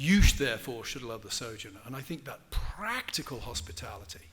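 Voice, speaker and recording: Audible room echo surrounds a man talking at a fairly quick pace with an English accent. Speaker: professor. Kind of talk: lecture Q&A.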